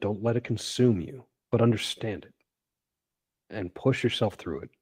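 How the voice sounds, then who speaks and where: This is a man with a medium-pitched, somewhat breathy voice. His tone is dark and mellow, and his pace is moderate. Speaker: artist, studio owner. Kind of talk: interview.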